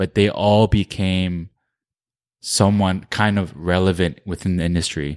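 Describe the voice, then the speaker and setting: With a New Jersey accent, a man talks at a very deep, low pitch with fairly even intonation, the sound dry and close with no echo over a quiet background. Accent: American (New Jersey). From New Jersey, US (Korean American family). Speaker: streetwear brand founder. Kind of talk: casual interview chat.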